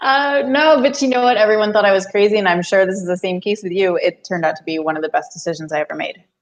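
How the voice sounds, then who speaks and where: With a New Jersey accent, a woman speaks very fast at a medium pitch, with lively intonation and hardly any pauses. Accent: American, New Jersey. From US, New Jersey. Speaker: author and business coach. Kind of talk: podcast interview.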